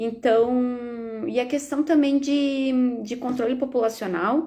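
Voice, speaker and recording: Speaking at a very slow pace, a woman with a high pitch uses a dark, mellow tone and fairly even intonation. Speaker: veterinarian. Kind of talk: live stream Q&A.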